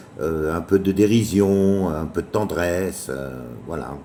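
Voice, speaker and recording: A man talks at a very slow pace with a very deep, low pitch. Noticeable background noise runs underneath. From France, Paris. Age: 50s. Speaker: chef and children's book author. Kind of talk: book presentation. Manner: halting, many fillers; casual.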